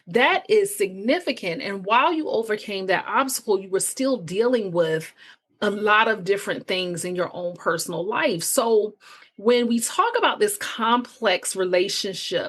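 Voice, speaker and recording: In an ordinary speaking voice, a woman with fairly high pitch talks at a fairly slow pace with lively intonation. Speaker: podcast host. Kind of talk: interview.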